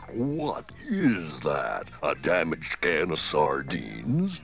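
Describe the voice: In a cartoonish character voice, a man speaks at a very slow pace. Background noise is clearly heard.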